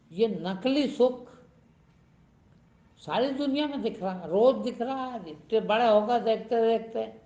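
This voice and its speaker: A man's high-pitched voice carries audible room echo. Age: 70s. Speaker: spiritual teacher. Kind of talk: sermon. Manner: animated.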